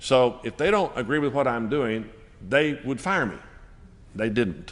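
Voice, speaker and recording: With a Texan accent, a man speaks at a fairly slow pace and a medium pitch. His intonation is lively. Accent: Texan US Southern. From Texas. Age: 60s. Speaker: Baptist church leader. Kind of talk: panel discussion.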